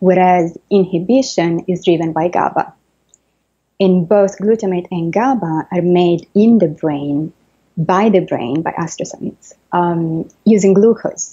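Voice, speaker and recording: A woman speaks at a fairly slow pace with a fairly low pitch, a dark, mellow tone, ordinary pitch variation and an Italian accent. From Italy. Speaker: neuroscientist and author. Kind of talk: interview. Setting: video call.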